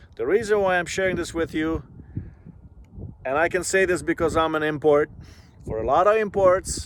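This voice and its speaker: A man with a non-native accent speaks in a high pitch. His tone is relaxed. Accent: foreign accent, still present. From immigrant to Canada at age twelve, non-English-speaking country. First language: not English. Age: 40s. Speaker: vlogger. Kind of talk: casual vlog monologue. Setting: outdoors by a lake. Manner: relaxed, with frequent fillers.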